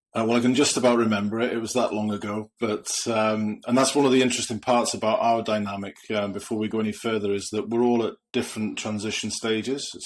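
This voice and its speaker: A man speaks very fast with a Welsh accent, barely pausing. His medium-pitched voice stays flat and monotone. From Wales. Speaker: retired rugby player, podcast co-host. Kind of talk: casual chat. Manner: hesitant, many fillers.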